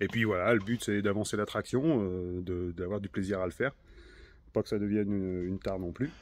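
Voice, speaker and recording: Ordinary pitch variation at a fairly quick pace. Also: man, fairly low pitch for a man. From northern France, Hauts-de-France (Nord). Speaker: car restorer, video maker. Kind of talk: casual workshop vlog. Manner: casual, many hesitations.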